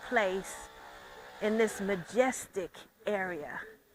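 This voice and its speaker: Noticeable background noise runs under the speech. The speaker goes at a very slow pace in an American accent. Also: woman. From US, Detroit, Michigan. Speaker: retired history professor. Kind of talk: interview.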